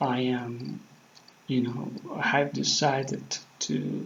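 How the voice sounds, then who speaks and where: A man with a Spanish accent. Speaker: vlogger practicing English. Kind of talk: casual monologue to camera. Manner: halting, many fillers.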